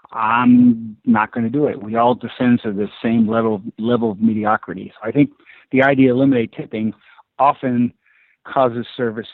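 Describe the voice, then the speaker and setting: Using a plain, everyday voice, a man speaks at medium pitch and a moderate pace. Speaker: club management consultant. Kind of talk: casual interview.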